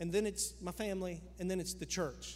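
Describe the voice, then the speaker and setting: Speaking at a moderate pace with ordinary pitch variation, a man is heard with audible room echo. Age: 50s. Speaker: pastor. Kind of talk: sermon. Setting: church. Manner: animated.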